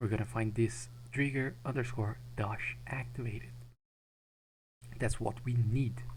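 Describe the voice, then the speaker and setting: A man with a non-native accent, fairly slow, with long, frequent pauses. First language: not English. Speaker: game modding tutorial maker. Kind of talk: tutorial. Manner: halting.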